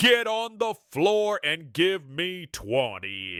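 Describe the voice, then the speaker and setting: A man puts on a character voice, pitched high and delivered very slowly. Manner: commanding.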